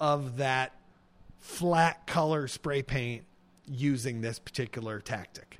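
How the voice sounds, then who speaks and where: In a very clean recording with a silent background, a man speaks in a normal speaking voice at medium pitch with ordinary pitch variation. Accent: American. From US Midwest, Illinois. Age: 40s. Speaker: painter and art professor. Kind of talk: casual interview. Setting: artist's studio.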